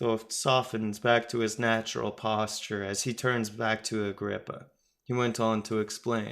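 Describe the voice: The reading aloud is plain, and the background is quiet.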